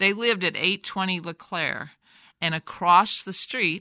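A woman with an American accent, bright and sharp in tone, lively in intonation, at a moderate pace in a very clean recording with a silent background. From US Midwest, Davenport, Iowa. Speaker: family storyteller. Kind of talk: elder telling family history, oral-history interview. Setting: studio. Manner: meandering, warmly reminiscent with soft laughs; halting, restarts words.

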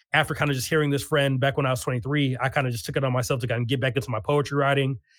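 With ordinary pitch variation, this man talks at a fairly high pitch. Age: 30s. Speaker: poet and educator. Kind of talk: interview.

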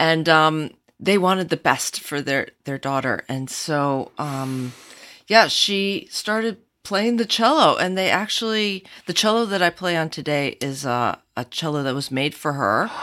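On a very clean recording with a silent background, a woman with an American accent speaks at a fairly slow pace in a very deep, low pitch, her tone bright and sharp and her intonation lively. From Michigan, US. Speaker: cellist. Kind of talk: casual chat.

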